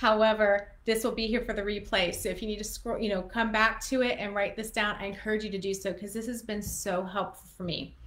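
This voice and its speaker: Fairly high female voice, monotone and flat, at a fairly quick pace with hardly any pauses. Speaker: photographer and educator; small business coach. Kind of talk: live-stream business tutorial. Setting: live stream. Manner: fast. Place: home room. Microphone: webcam.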